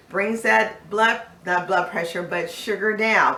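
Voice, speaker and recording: A woman speaks at a moderate pace. The room echo is audible and the background noise is noticeable. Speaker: life coach, video host. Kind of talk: casual health talk to camera.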